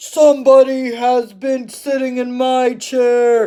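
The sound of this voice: A female-sounding voice in a put-on character voice talks high in pitch at a fairly slow pace, with monotone, flat intonation.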